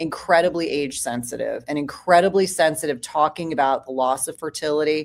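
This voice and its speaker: Using an ordinary speaking voice, a woman talks at a fairly low pitch and a fairly quick pace with ordinary pitch variation. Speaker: women's health clinician and author. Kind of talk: panel discussion.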